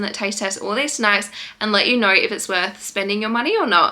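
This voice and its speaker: With an Australian accent, a woman talks at a fairly quick pace and a fairly high pitch. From Western Australia. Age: 20s. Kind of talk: casual talk to camera.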